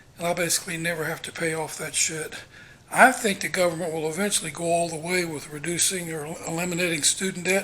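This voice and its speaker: This man's voice is pitched high. He talks at a fairly quick pace. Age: 60s. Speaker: vlogger. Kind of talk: casual monologue. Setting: walking around home.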